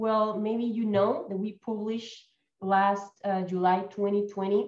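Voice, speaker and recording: Medium pitch from a female speaker, plus audible echo from the room. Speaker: conservation organization speaker. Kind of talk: conference presentation.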